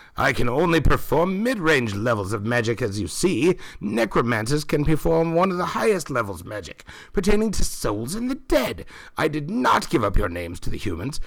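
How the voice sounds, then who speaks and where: Here a man does a put-on character voice at a fairly high pitch and a fairly quick pace. His pitch swings very widely. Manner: formal, grandiose.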